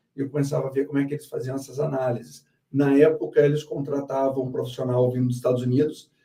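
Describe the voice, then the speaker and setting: A man speaks in a southern Brazilian accent, his tone dark and mellow. His voice is somewhat breathy, with monotone, flat intonation. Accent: Porto Alegre (gaúcho). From southern Brazil, Porto Alegre. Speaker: company founder and CEO. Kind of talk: live interview.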